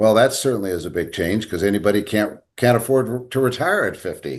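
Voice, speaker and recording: This man has a plain, everyday voice with an American accent and fairly low pitch. He talks at a fairly quick pace with ordinary pitch variation. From Sacramento, California. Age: 60s. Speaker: dental management company CEO. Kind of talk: interview.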